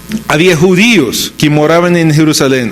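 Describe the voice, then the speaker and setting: Noticeable background noise runs under this recording. A man talks at a fairly slow pace. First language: English (speaking Spanish). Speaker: pastor. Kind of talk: sermon.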